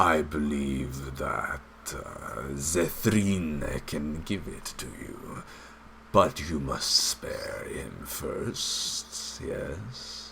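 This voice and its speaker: Over clear background noise, a man puts on a character voice and speaks at a very slow pace. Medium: actual play. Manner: slow, sly, refers to himself in third person.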